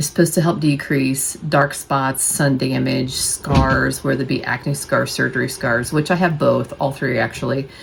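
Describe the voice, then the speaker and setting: A woman with an American accent, a very deep, low pitch and fairly even intonation against noticeable background noise. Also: moderate pace. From United States. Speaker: nurse and bariatric surgery vlogger. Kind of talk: casual vlog talk to camera. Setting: at home. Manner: quieter than usual, not projecting.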